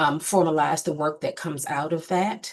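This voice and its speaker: Quiet sits behind a woman speaking at a fairly low pitch. Her intonation is monotone and flat. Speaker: state board executive presenting to commission. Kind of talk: formal report to committee. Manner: many filler ums.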